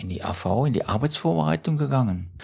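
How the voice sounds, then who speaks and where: Very wide pitch swings mark a man's speech at a moderate pace on a very clean recording with a silent background. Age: 70s. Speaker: retired OpenStreetMap mapper. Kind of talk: interview. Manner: halting.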